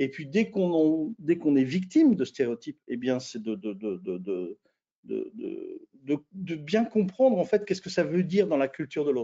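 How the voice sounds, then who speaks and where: A man talks in a high pitch at a fairly slow pace. His pitch swings very widely. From France. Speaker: intercultural management consultant. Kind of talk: webinar interview. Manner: halting, many repetitions and fillers.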